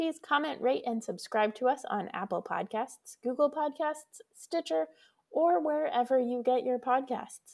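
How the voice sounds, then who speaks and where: A woman with an American accent speaks at a high pitch and a fairly slow pace, her intonation lively. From Colorado. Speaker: podcast co-host and pastor. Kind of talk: casual chat.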